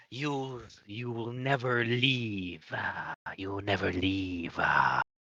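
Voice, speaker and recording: A man speaks at a very slow pace in a put-on character voice at a medium pitch. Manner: menacing, threatening.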